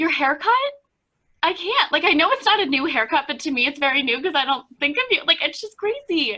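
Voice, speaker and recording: A woman with a high pitch speaks in a raised, projected voice with a bright, sharp tone. Her delivery is upbeat and enthusiastic, with lively intonation. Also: fairly quick pace. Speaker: podcast host. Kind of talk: casual podcast conversation. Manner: upbeat, enthusiastic.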